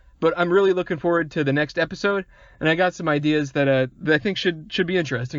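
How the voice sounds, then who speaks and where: The speaker is a man talking at a very fast pace. His pitch variation is ordinary. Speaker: podcast host. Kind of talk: solo podcast outro monologue. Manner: stutters often.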